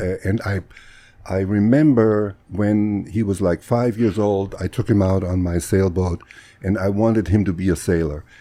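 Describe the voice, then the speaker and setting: In a German accent, a man speaks with a fairly low pitch. His tone is dark and mellow, and his intonation fairly even. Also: moderate pace. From Germany, Bavaria near Munich. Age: 60s. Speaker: physician. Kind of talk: casual interview.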